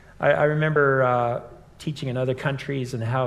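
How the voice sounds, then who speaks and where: Pitch moves in an ordinary way here. There is a somewhat breathy quality to the voice. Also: man. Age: 60s. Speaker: campus minister and teacher. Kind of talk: live conversation. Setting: live event with in-person and online audience.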